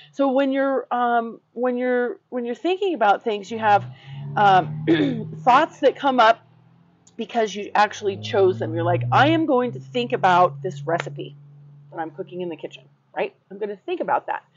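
A woman at a moderate pace, with big swings in loudness and music in the background. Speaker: life coach podcast host. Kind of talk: casual conversational podcast. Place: garden. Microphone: lapel.

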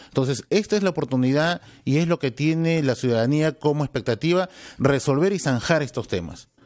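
A man's fairly high voice with ordinary pitch variation at a fairly quick pace, quiet background. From Peru. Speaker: congressman and party spokesman; party spokesman. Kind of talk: radio interview. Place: studio. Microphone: studio mic.

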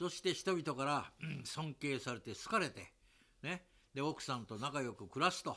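With a bright, sharp tone and lively intonation, a man talks at a moderate pace and a fairly high pitch. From Japan. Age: 80s+. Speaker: investment seminar host. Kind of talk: casual interview chat. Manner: animated. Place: home room.

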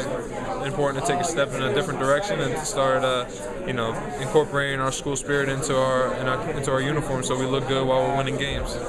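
A man talks at a very fast pace against loud background noise. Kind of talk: interview answer. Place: studio.

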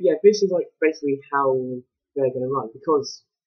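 Over faint music in the background, a man speaks at a very fast pace. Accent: English. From England. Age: 20s. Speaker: vlogger; student vlogger. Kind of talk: vlog. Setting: uni room. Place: home room. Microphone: poor laptop mic, awful sound; webcam.

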